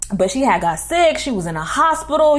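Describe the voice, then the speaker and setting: A woman talks at a fairly quick pace in a New York accent. Her pitch swings very widely. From New York City, Queens. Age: 20s. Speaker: YouTuber. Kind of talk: storytime. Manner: casual slangy.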